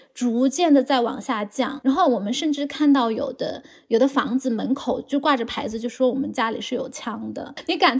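A woman talks at a moderate pace in a high voice with ordinary pitch variation, noticeable background noise behind her. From China, Chengdu. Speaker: high school teacher. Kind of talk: casual chat.

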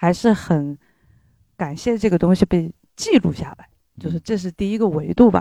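This woman has a dark, mellow tone and a fairly low pitch with ordinary pitch variation. The sound is dry and close, with no echo. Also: moderate pace, big swings in loudness. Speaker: audience member. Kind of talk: casual opinion talk at live event.

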